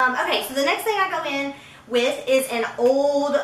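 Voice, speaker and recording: A woman's high-pitched voice at a fairly slow pace, lively in intonation, with audible room echo and noticeable background noise. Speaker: beauty vlogger. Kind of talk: makeup tutorial with chit chat. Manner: casual, filler-heavy.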